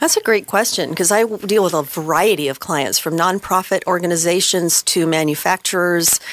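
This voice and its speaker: Noticeable background noise behind a woman with a fairly low pitch, talking at a fairly quick pace with ordinary pitch variation. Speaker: banking executive guest. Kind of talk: interview discussion. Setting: radio studio.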